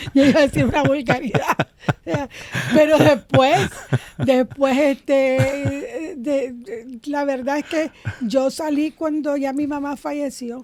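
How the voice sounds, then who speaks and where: A woman with a Nicaraguan accent and a high pitch, speaking at a very slow pace with fairly even intonation, amid noticeable background noise. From Nicaragua, Managua. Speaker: comedian. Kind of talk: interview conversation.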